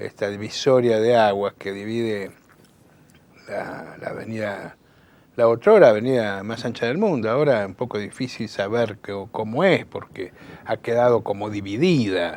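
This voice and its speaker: At a fairly slow pace, a man speaks with medium pitch, ordinary pitch variation and big swings in loudness. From Buenos Aires, Argentina. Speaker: political activist and communicator. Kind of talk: interview. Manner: halting, many fillers.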